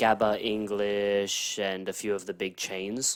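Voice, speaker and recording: Here a man with an Australian accent speaks at a fairly low pitch. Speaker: podcast co-host. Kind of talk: casual chat.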